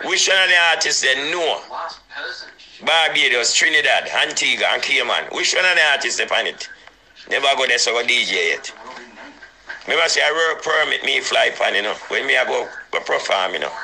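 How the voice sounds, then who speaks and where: With a Jamaican accent, a man talks at a fairly quick pace broken by long, frequent pauses, against noticeable background noise. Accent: Jamaican patois. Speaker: dancehall DJ. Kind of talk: heated phone rant. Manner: animated.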